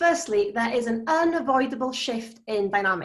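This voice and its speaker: With a Welsh accent, a woman speaks at a fairly high pitch with very wide pitch swings. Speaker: scrum master. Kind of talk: conference talk. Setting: meetup lightning talk.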